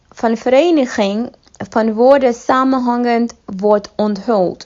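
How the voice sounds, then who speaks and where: A woman's high-pitched voice at a very slow pace. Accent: non-native. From Somali background. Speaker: religious content creator. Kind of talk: scripted narration.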